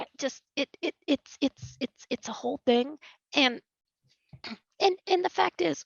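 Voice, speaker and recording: Putting on a raspy, high-pitched character voice, a woman speaks at a fairly slow pace with long, frequent pauses. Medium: actual play. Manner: stammering, flustered.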